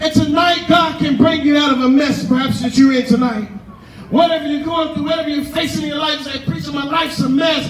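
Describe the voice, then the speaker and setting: A man speaks in a passionate tone at an extremely high pitch and a fairly quick pace, his intonation fairly even. Audible room echo and light background noise surround him. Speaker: pastor preaching at a tent revival. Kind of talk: sermon, live preaching to a congregation. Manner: passionate, call-and-response preaching. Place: tent.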